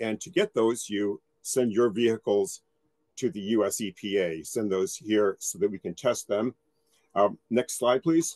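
Lively intonation from a man at a fairly slow pace, quiet background. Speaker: federal environmental agency analyst. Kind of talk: technical presentation. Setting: video call. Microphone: video call.

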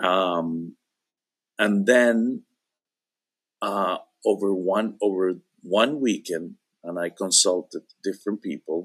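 In a Spanish accent, a man with a fairly low pitch and ordinary pitch variation speaks at a very slow pace, leaving long, frequent pauses against a quiet background. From Venezuela. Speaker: interview guest. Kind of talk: casual chat. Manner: halting, many repetitions. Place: home room. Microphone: video call.

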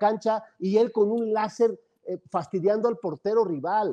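A man's high, dark and mellow voice at a fairly slow pace, over a quiet background. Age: 60s. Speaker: football pundit. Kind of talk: casual chat. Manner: halting. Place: home room. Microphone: earbuds.

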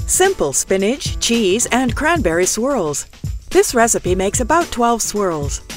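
Fairly slow speech from a woman at medium pitch, the sound dry with no echo and faint music in the background. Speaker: voice actor. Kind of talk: recipe video narration. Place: studio.

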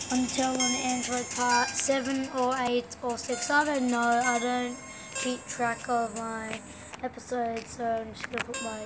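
Clear music plays in the background as the speech moves at a fairly slow pace. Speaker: gamer. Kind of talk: casual gameplay commentary.

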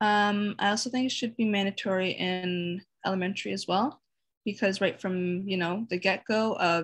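A somewhat breathy woman with a Canadian accent, fairly even intonation and a fairly slow pace against a quiet background. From Sudbury, Ontario, Canada; Ontario. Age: 20s. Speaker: university student; interviewee. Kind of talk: interview. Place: home room. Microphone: webcam.

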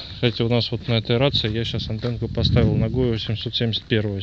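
A man at a fairly slow pace, dry sound with no echo, over loud background noise. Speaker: radio hobbyist. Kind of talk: casual tutorial commentary. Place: street. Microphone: phone near.

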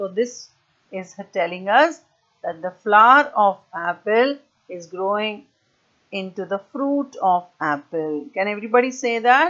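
Lively intonation carries a fairly slow pace over a quiet background. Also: woman. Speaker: primary school teacher. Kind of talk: online lesson for young children. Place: home room. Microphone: earbuds.

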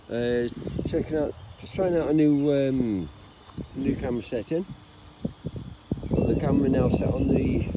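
The voice moves at a fairly slow pace, with a dry, echo-free sound and noticeable background noise. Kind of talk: casual vlog chat. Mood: excited. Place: open country. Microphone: phone near.

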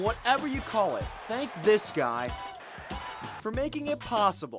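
A high-pitched man at a fairly slow pace, long, frequent pauses, music in the background. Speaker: TV sports reporter. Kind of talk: TV news feature narration.

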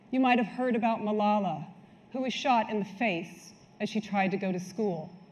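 The voice is somewhat breathy. Its pace is moderate. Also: woman. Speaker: conference speaker. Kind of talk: keynote talk. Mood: earnest, serious. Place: hall. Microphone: lapel.

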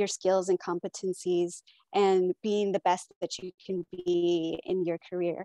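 A woman speaks at a moderate pace in a dark, mellow tone. The background is quiet and the sound is dry with no echo. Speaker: keynote speaker, supply chain professional. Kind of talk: keynote address. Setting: video call. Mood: warm, earnest. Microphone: earbuds.

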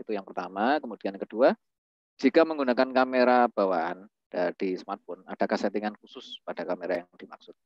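Speaking very fast with lively intonation, a man is heard against a quiet background in a dry recording with no echo. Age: 30s. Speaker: webinar moderator. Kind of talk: online class moderation. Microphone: video call.

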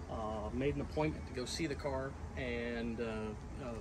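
Noticeable noise sits in the background while a man talks. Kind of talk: casual storytelling. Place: street. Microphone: phone near.

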